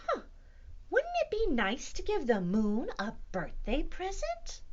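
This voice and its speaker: A woman's put-on character voice at an extremely high pitch, delivered at a fairly slow pace. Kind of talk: picture book read-aloud. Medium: read story. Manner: warm, innocent.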